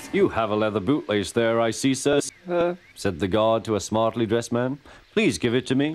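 Lively intonation in an unforced reading voice

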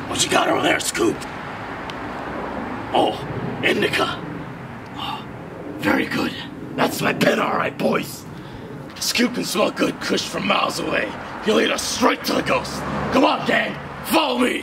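Over loud background noise, a man uses a put-on character voice at a moderate pace. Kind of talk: comedic skit dialogue. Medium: comedy sketch. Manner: casual, profane, slangy. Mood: excited, leading the gang.

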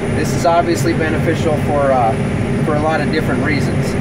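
Loud background noise surrounds a man who talks at a fairly quick pace with ordinary pitch variation. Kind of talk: casual vlog explanation. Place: farm machine. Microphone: phone near.

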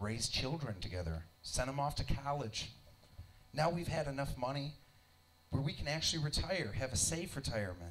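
A man's fairly high voice with very wide pitch swings, moderate pace, and light background noise. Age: 30s. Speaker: stand-up comedian. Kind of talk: stand-up comedy. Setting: stage with audience in a basement club. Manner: animated, irreverent. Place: stage. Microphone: handheld.

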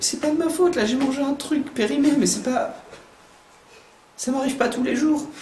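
A man puts on a whiny character voice at an extremely high pitch, speaking at a moderate pace with long, frequent pauses and an audible echo. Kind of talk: improvised comic dubbing. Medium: fan dub. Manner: panicky, whiny, comic despair.

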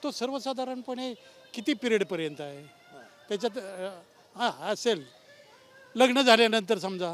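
A man's high-pitched voice with lively intonation and big swings in loudness. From western Maharashtra. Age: 70s. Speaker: retired pensioner, park visitor. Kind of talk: street interview. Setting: outdoors.

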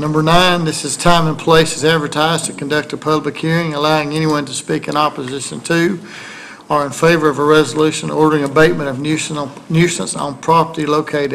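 Light background noise sits behind a man with a Southern US accent and a fairly high pitch, speaking at a moderate pace in a monotone, flat intonation. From US South. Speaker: council meeting chair. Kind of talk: formal meeting procedure. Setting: city hall meeting. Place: hall. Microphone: podium.

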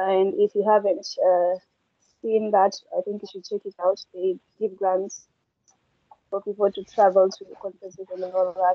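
Delivery is at a moderate pace with monotone, flat intonation and long, frequent pauses. The sound is dry with no echo, against a quiet background. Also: woman, medium pitch for a woman. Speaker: session moderator. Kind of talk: online session moderation. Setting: video call. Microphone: video call.

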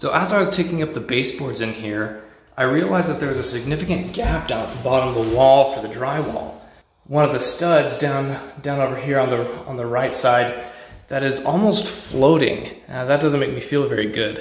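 A man talks at a moderate pace with ordinary pitch variation, and audible room echo surrounds his voice. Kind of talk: casual tutorial narration. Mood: mildly concerned. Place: empty room. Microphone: phone near.

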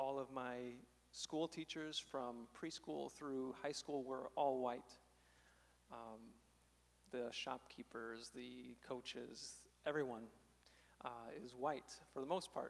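A man's very slow speech with a Midwestern American accent, fairly even intonation and long, frequent pauses. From southern Illinois, small town. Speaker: speaker. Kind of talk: testimony. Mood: reflective, candid. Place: church. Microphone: handheld.

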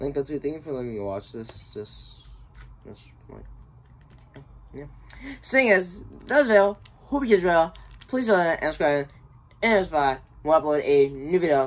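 The pace is moderate. Long pauses come often. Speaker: YouTube reaction channel host. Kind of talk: reaction video with angry gamer rant, swearing at the game. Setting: home recording, talking over a video. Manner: loud, ranting, excitable, swearing and shouting at the screen.

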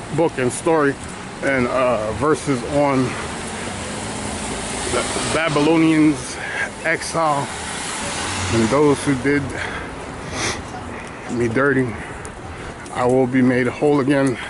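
With noticeable background noise but a dry sound with no echo, a man speaks at a very slow pace, leaving long, frequent pauses. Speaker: podcaster giving walking tour. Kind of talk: casual vlog chat. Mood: reflective, faith-focused. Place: street. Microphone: phone near.

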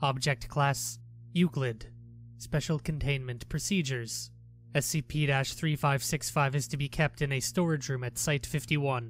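A man speaks at a fairly slow pace with fairly even intonation while music plays in the background. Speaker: SCP narrator. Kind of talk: SCP article reading.

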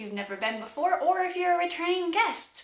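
Audible room echo accompanies speech delivered at a fairly quick pace. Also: woman. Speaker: vlogger. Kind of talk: casual vlog chat.

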